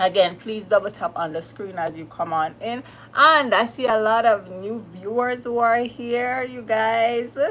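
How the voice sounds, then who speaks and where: In a Jamaican accent, a woman with fairly high pitch and ordinary pitch variation speaks at a fairly slow pace in an animated tone, her loudness swinging widely. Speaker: live streamer. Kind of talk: live stream chat with viewers. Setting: livestream.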